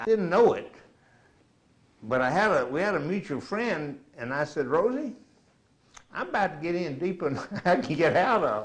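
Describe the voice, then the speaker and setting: This voice carries an American accent and vocal fry. Its pitch swings very widely. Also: man. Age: 70s. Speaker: war veteran. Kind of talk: oral history interview.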